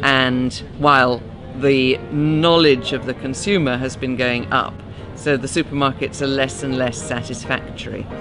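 Over clear background music, a woman talks with a very deep, low pitch and ordinary pitch variation. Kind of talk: interview answer. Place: garden.

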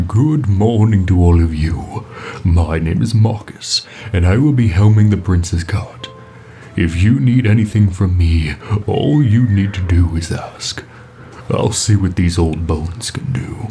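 A man speaks at a fairly slow pace in a very deep, low voice. Clear background noise runs underneath. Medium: audio drama. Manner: warm, friendly.

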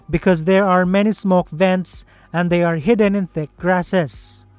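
Music plays in the background as a man speaks at a high pitch. His pace is fairly slow and the sound is dry with no echo. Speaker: narrator. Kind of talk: documentary explainer narration.

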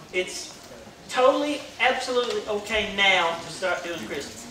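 A man with a high voice speaks with ordinary pitch variation amid noticeable background noise and audible room echo. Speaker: pastor making announcements. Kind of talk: church announcements. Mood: cheerful, joking. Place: church.

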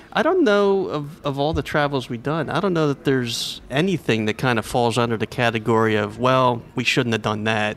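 The delivery moves at a fairly quick pace with hardly any pauses and lively intonation. Noticeable background noise sits behind it. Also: man, medium pitch for a man. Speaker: travel blogger. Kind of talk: casual interview. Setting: breakfast nook at a hotel.

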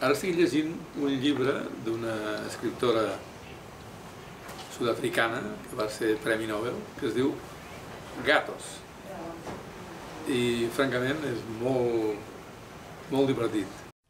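Speaking at a very slow pace, a man leaves long, frequent pauses with ordinary pitch variation. There is noticeable background noise. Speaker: marathon runner and writer. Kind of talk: interview answer.

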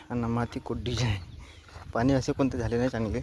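A man's medium-pitched, slightly mellow voice at a fairly quick pace, its intonation fairly even.

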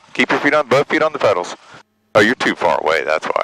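Noticeable noise runs behind this man's speech. There is no echo, and the sound is dry. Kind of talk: casual instruction in cockpit. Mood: playful, encouraging. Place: plane. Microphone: headset.

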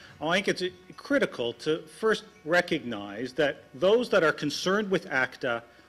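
Music plays in the background as a man with a Canadian accent speaks at a moderate pace. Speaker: law professor. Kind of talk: conference talk.

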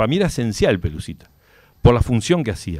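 Against a quiet background, a man talks very fast at a medium pitch. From Uruguay. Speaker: author of a biography; interview guest. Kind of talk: radio interview, casual chat; interview answer. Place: studio. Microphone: studio mic.

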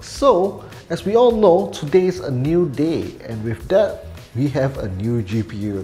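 With music playing behind, the speaker's pitch swings very widely. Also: man. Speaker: tech reviewer. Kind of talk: casual talk to camera.

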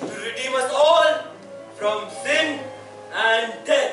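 A man speaks in a raised, projected voice, with audible room echo and faint music in the background. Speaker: actor in religious play. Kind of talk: theatrical monologue. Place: stage. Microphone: camera far.

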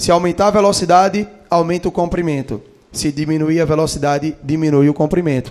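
Against a quiet background, a man with an unremarkable speaking voice talks at a fairly quick pace and fairly high pitch, with ordinary pitch variation. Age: 20s. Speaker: physics teacher. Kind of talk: lecture. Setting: auditorium. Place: hall.

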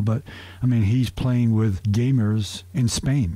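In a normal speaking voice, a man speaks fairly low with fairly even intonation, the sound dry with no echo. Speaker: radio guest. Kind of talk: interview answer. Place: studio.

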